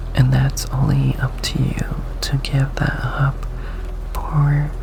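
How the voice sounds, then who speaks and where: The talking proceeds very slowly while background noise remains noticeable throughout. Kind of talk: hypnotic ASMR monologue. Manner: slow, hushed, dominant.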